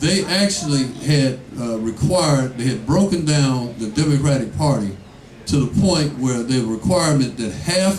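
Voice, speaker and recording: Speaking at a moderate pace, a man uses lively intonation at a medium pitch. Audible room echo and noticeable background noise surround him. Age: 60s. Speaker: political candidate. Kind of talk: campaign Q&A talk. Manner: animated.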